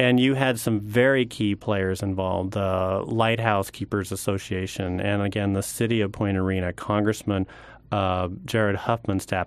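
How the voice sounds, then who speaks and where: In an American accent, a man with a fairly low pitch speaks at a moderate pace in an unremarkable speaking voice. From Oregon. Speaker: public lands manager. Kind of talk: radio interview. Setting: radio studio.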